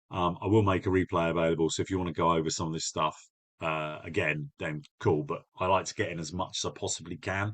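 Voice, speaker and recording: Over a quiet background, a man with a very deep, low pitch talks at a very fast pace with fairly even intonation. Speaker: business coach. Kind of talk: webinar presentation. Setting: online live webinar. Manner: direct.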